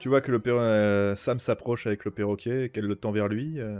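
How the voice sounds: This is a natural reading voice. It carries through the whole clip.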